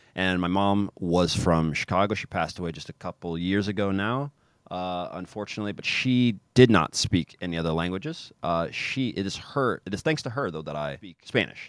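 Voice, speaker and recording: A man with an American accent speaks at a moderate pace with hardly any pauses, his very deep, low voice carrying lively intonation and big swings in loudness. The recording is very clean, with a silent background. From US Midwest, Kansas City. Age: 30s. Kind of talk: casual interview. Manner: animated.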